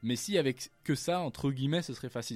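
The recording is very clean with a silent background, and a man's pitch varies in an ordinary way. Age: 20s. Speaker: climate activist and student. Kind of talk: radio interview.

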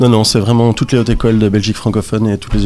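This man talks at a fairly low pitch, and music plays behind him. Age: 40s. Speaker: youth information centre director. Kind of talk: radio interview. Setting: radio studio. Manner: halting, many hesitations.

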